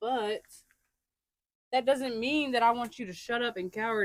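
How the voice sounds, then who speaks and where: A woman at a moderate pace. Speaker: podcast co-host. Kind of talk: casual chat. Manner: loud when passionate.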